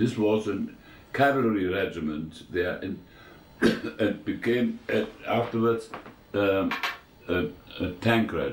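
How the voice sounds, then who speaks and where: At a fairly slow pace with long, frequent pauses, the speaker uses ordinary pitch variation against audible room echo. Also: man, fairly low pitch for a man. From eastern Germany. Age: 90s. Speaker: war veteran. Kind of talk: interview. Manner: halting, many fillers.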